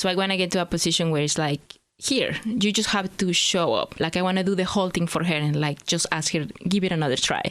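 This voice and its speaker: Talking at a very fast pace, a woman keeps her loudness very even, her medium-pitched voice varying in an ordinary way. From Mexico, Hidalgo state. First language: Spanish. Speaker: immigrant entrepreneur. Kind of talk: podcast interview.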